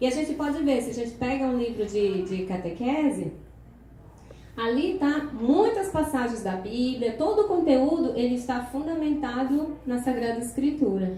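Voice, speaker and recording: Over noticeable background noise and audible room echo, a woman speaks at a moderate pace in a high pitch with lively intonation. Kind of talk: lecture.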